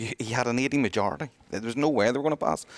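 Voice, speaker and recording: Very fast and with lively intonation, a man speaks in a Northern Irish accent, the sound dry and close with no echo on a very clean recording with a silent background. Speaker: retail industry representative. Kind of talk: casual discussion.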